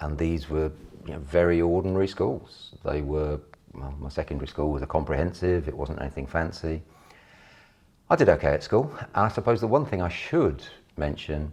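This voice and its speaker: A man's very deep, low voice in a London accent, with vocal fry, ordinary pitch variation and a moderate pace. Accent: sounds like a Londoner. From Yorkshire and Hertfordshire, England. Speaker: property investor and trainer. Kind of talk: personal life story.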